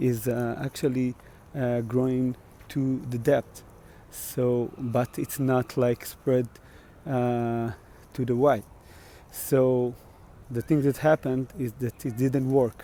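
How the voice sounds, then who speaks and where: A man with an Israeli accent speaks very slowly at medium pitch in a dark, mellow, monotone, flat voice, with long, frequent pauses. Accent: Israeli Hebrew. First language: Hebrew. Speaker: musician. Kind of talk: casual livestream vlog. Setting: outdoors on a walk. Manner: halting, many fillers.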